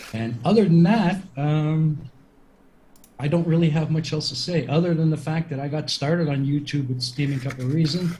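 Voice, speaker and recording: A man speaks with ordinary pitch variation and audible room echo. Background noise is noticeable. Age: 60s. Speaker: debater, primary school teacher. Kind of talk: debate opening statement.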